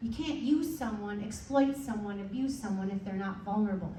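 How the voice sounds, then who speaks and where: At a moderate pace, a woman speaks amid audible room echo and noticeable background noise. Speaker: chaplain giving a talk. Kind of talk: presentation to a club meeting. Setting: meeting room with audience, microphone.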